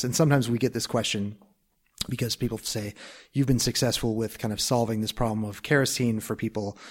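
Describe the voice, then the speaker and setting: In an American accent, a man speaks at a very fast pace with ordinary pitch variation. The recording is very clean with a silent background. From US Midwest, Minnesota. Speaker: start-up co-founder and finance executive. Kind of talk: interview. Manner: halting, many fillers and restarts.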